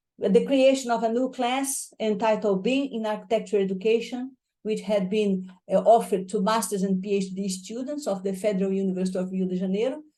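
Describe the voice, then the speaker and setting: Delivered at a fairly quick pace, the voice has a dark, mellow tone and a Portuguese accent. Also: woman, fairly high pitch for a woman, fairly even intonation. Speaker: professor. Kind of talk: lecture. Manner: fast.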